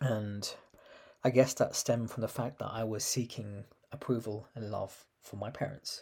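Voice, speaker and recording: A man with a London accent speaks in a dark, mellow, somewhat breathy tone. His intonation stays fairly even while his loudness swings widely. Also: medium pitch for a man, moderate pace. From London, UK. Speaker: empowerment coach and podcast host. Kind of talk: personal storytelling monologue.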